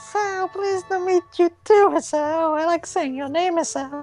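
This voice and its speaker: A put-on character voice that sounds female, squeaky and pitched extremely high for a woman. She talks at a moderate pace over faint background music. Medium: read story. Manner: nervous, apologetic, mood swings.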